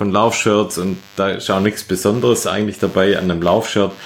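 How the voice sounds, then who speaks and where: In a Swabian accent, a man speaks with a fairly low pitch. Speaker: running podcast host. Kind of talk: casual chat.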